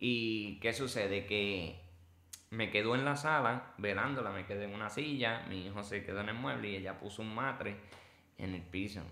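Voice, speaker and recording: Audible room echo surrounds a man's voice at a fairly low pitch. He talks at a moderate pace with ordinary pitch variation. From Puerto Rico. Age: 30s. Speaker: former inmate turned preacher. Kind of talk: testimony.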